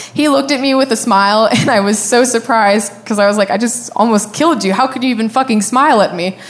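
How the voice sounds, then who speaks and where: Over noticeable background noise, a woman with a fairly high pitch talks at a very fast pace, her loudness very even. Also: ordinary pitch variation. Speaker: storyteller. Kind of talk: storytelling.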